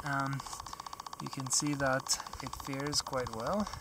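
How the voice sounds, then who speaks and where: Loud background noise surrounds a man with a fairly high pitch. The sound is dry with no echo. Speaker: hiker vlogger. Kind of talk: outdoor vlog narration; casual vlog chat. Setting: outdoors on a mountain pass. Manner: casual with fillers. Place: open country. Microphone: phone near.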